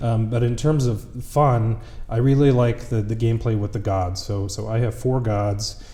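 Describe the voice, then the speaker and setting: A man with an American accent speaks at medium pitch and a moderate pace, his voice somewhat breathy and dark and mellow in tone. His intonation stays fairly even, and audible room echo is present. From US Midwest, Wisconsin. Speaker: games company executive. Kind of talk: interview.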